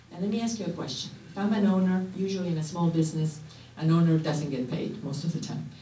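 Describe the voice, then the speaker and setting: The talking moves at a fairly quick pace, with noticeable background noise. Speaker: government program trainer. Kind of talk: seminar presentation. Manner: fast.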